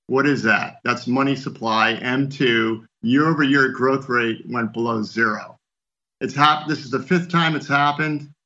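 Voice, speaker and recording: A man with a normal speaking voice talks at a moderate pace. His intonation is fairly even. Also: medium pitch for a man. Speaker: financial analyst. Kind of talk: interview.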